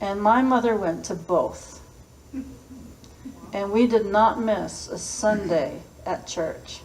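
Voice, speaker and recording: A woman speaks in an American accent with ordinary pitch variation. Audible room echo surrounds her voice. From Massachusetts, US. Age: 60s. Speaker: school principal. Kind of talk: personal storytelling talk.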